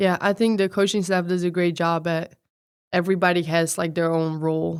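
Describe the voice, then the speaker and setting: A woman speaks with a Dutch accent in a fairly low pitch. Her pace is moderate. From Netherlands. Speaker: college athlete. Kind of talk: podcast interview.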